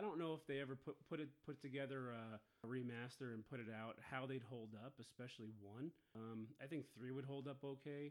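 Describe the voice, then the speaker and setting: A man talks at a fairly quick pace in an ordinary speaking voice with medium pitch. He uses ordinary pitch variation and hardly any pauses. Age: 30s. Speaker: gaming podcast co-host. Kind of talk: casual chat.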